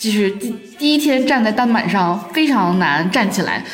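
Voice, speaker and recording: Lively intonation marks a woman's fairly high voice at a moderate pace. Noticeable background noise and audible room echo surround her. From Northeast China. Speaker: office worker. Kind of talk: casual chat.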